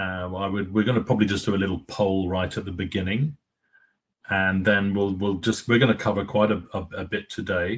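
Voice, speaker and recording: Against a quiet background, a man with an English accent talks fairly quickly in a fairly low voice with fairly even intonation. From England. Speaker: company executive, webinar host. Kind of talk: webinar discussion. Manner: halting, many fillers.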